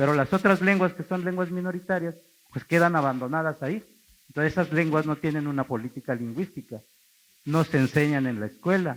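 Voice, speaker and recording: With an Oaxacan accent, a man talks at a fairly quick pace in a fairly high pitch with ordinary pitch variation. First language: Zapotec (speaking Spanish). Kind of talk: talk to an audience. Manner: conversational, frequent tag questions.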